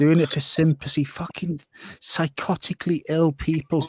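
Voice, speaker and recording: A somewhat breathy man with fairly high pitch, at a moderate pace, in a dry, close recording with no echo. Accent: North Welsh. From North Wales. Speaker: live stream co-host. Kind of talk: casual chat.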